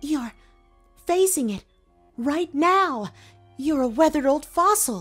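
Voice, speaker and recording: A female-sounding put-on character voice, high-pitched, at a fairly slow pace with long, frequent pauses, faint music behind. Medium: audio drama. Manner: smirking, sly.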